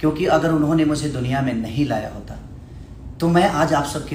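Light background noise and audible room echo surround a man talking at a fairly slow pace. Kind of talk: live stream address to audience. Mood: grateful, earnest. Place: gym. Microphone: phone near.

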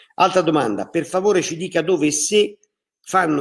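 A man talks at a moderate pace. Vocal fry runs through his voice. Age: 60s. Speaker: mayor. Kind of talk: public information livestream. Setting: live video broadcast.

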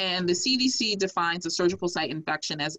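Over a quiet background, a woman with a fairly low pitch speaks at a moderate pace in a bright, sharp tone, with ordinary pitch variation. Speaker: infectious disease doctor and cancer survivor. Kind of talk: presentation. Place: home room. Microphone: video call.

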